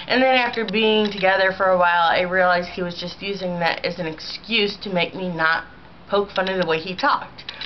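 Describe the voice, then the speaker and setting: Over noticeable background noise, a woman speaks at a fairly quick pace and medium pitch with ordinary pitch variation. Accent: American. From US Midwest, St. Louis, Missouri. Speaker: vlogger. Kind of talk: casual video response monologue. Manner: rambling, many filler ums.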